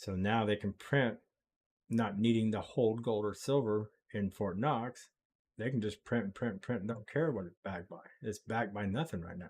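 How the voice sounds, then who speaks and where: A man with an American accent speaks in a fairly low voice. His pace is moderate, with ordinary pitch variation. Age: 60s. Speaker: crypto live streamer. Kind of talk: live stream chat. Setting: live stream with background music. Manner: casual, hesitant with fillers.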